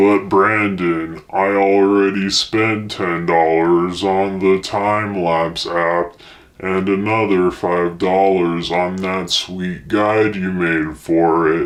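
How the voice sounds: A man puts on a character voice with a very deep, low pitch. He goes at a very slow pace with hardly any pauses.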